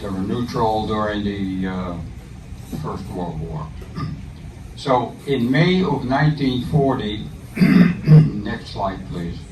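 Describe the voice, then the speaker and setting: Over noticeable background noise and audible room echo, a man with a fairly low pitch speaks very slowly, his voice making very wide pitch swings. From Netherlands, Amsterdam. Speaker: war veteran. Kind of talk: talk. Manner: halting.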